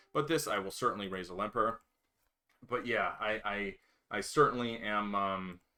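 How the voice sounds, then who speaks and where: A man speaks with a fairly low pitch and a bright, sharp tone. His pitch varies in an ordinary way, and he takes long, frequent pauses. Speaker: poker player and streamer. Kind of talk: live stream commentary. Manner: fast; many filler words.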